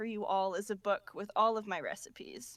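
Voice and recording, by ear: The clip captures someone reading aloud in a natural voice.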